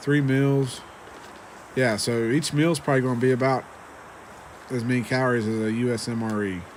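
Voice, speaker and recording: This man has an American accent and a medium pitch, speaking at a fairly quick pace with fairly even intonation. He leaves long, frequent pauses, and room echo can be heard. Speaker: ration reviewer. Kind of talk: casual video review. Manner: hesitant, many fillers.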